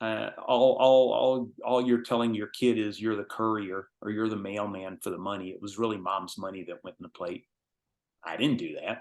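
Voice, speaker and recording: A man with an unremarkable speaking voice talks at a moderate pace in fairly low pitch, his intonation fairly even. His loudness swings widely against a quiet background. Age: 60s. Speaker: course instructor. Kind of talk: lecture.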